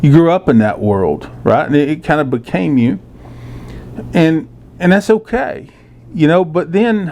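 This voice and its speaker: A man with a Texan accent speaks at a moderate pace with very wide pitch swings. Noticeable background noise is present. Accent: Texan Southern US. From South Texas, rural (Floresville, Corpus Christi). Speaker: journalist and commentator. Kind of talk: casual monologue. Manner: halting, many fillers.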